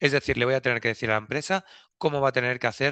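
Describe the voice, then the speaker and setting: A man's voice sits at a medium pitch with ordinary pitch variation. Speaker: packaging regulation consultant. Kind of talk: webinar presentation. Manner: fast.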